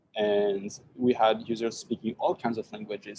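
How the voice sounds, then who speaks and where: A man with a French accent speaks in a dark, mellow tone, his intonation fairly even. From France. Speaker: tech startup founder. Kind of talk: tech talk Q&A. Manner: hesitant, many repetitions.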